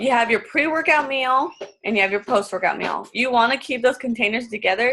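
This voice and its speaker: A woman speaks with a fairly high pitch. Her pace is fairly quick. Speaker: fitness coach. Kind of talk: tutorial. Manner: fast; casual, filler-heavy.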